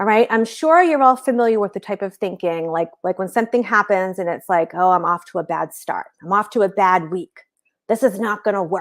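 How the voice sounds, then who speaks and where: An animated woman talks at a fairly quick pace in an American accent, with ordinary pitch variation. The recording is very clean, with a silent background. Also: medium pitch for a woman. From Boston area, Massachusetts. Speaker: business coach. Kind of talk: live-stream training. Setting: live video stream at home.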